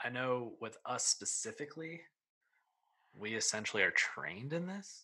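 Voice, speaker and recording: A man with an American accent talks at a moderate pace in a normal speaking voice, medium in pitch, with lively intonation. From central Pennsylvania. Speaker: podcast host, physical educator. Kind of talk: scripted show intro and outro; casual interview chat.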